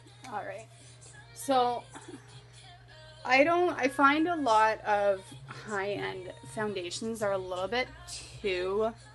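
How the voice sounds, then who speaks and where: Over background music, a woman with a fairly high pitch speaks very slowly, taking long, frequent pauses and making very wide pitch swings. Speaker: makeup tutorial creator. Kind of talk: casual tutorial talk to camera.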